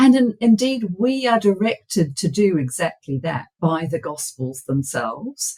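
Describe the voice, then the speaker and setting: A somewhat breathy woman speaks at a medium pitch with very wide pitch swings. Her pace is fairly slow, with hardly any pauses. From New Zealand. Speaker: biblical scholar and author. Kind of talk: podcast interview. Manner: halting, many fillers and repeats.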